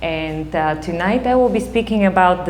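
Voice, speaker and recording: A woman with a Bulgarian accent speaks at a moderate pace and a fairly low pitch. Audible room echo and noticeable background noise surround her voice. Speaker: psychotherapist. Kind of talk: talk to an audience.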